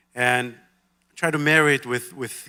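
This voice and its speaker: A man speaks with an Israeli accent in a bright, sharp tone. His intonation stays fairly even, and the recording is very clean with a silent background. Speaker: banker. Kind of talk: onstage interview. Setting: stage with audience.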